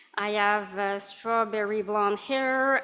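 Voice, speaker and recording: The speaker has a French accent and a bright, sharp tone. Delivery is very slow, with fairly even intonation. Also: woman. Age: 40s. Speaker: accessibility advisor. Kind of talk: conference presentation.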